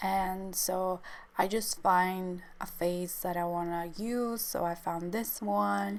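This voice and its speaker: Audible room echo surrounds a woman with medium pitch. She speaks at a very slow pace. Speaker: artist. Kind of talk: tutorial. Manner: hesitant.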